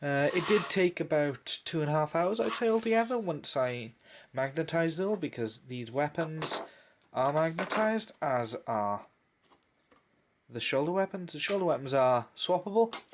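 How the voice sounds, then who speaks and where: A man with a Welsh accent, fairly high pitch, very wide pitch swings and a moderate pace. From Wales. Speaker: tabletop miniatures hobbyist. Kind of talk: casual unboxing review to camera.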